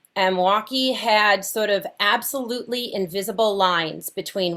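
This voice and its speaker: A woman's medium-pitched voice, with ordinary pitch variation, keeps a moderate pace. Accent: slight Wisconsin. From Wisconsin, US (Fond du Lac). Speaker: researcher leading a justice project. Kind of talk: panel conversation.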